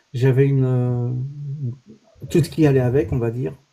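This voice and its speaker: A man speaks at a medium pitch in a dark, mellow tone. His voice is somewhat breathy, and his intonation stays fairly even. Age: 60s. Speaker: former company director. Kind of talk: casual chat. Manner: hesitant, many fillers.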